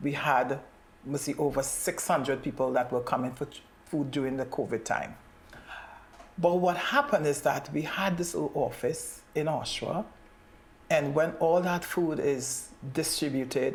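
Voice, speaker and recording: The speech moves at a moderate pace with ordinary pitch variation, broken by long, frequent pauses. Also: woman, very deep, low pitch for a woman. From Trinidad. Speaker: community advocate. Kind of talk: interview.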